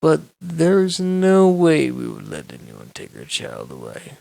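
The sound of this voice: Using a put-on character voice, a man speaks at a fairly slow pace with a fairly high pitch, very wide pitch swings and vocal fry. His tone is dark and mellow, and audible room echo surrounds it.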